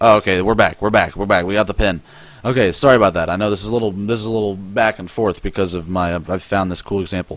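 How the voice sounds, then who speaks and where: A man talks at a very fast pace. His pitch is fairly low and his intonation fairly even. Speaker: forex trading instructor. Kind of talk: tutorial. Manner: halting, self-correcting; casual.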